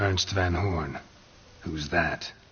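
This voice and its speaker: A raspy, put-on character voice. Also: man, very deep, low pitch for a man. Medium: machinima. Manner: terse, dry.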